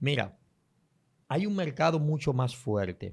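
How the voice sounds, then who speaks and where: On a very clean recording with a silent background, a man speaks. He keeps a moderate pace. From Dominican Republic, San Pedro de Macorís. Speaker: prophet, preacher. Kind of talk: interview conversation on faith.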